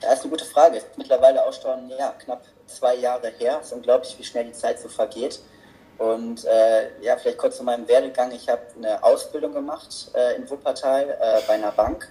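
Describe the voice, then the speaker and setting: The man keeps a moderate pace. His loudness swings widely. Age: 20s. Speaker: author and seminar assistant. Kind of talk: interview.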